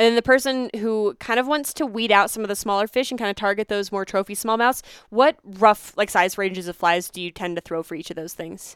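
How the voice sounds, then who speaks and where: Recorded very cleanly with a silent background and a dry, close sound with no echo, a woman with an American accent has an unremarkable speaking voice, medium pitch and ordinary pitch variation, talking at a fairly quick pace with hardly any pauses and big swings in loudness. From Pennsylvania. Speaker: podcast host. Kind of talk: interview.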